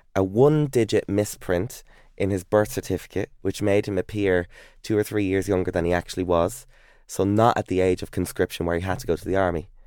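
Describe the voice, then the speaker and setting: The recording is dry and close, with no echo. A man speaks fairly quickly, his pitch varying in an ordinary way. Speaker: TV presenter and author. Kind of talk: casual interview chat. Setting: studio. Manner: animated, jokey.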